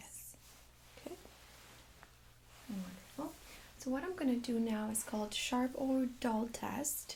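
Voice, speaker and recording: Calm in tone, the speaker goes at a fairly slow pace with long, frequent pauses and ordinary pitch variation. Loudness swings widely, and background noise is noticeable. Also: woman, high pitch for a woman. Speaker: nurse (playing a doctor in role-play). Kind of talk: ASMR medical role-play exam. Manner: soft-spoken, calm.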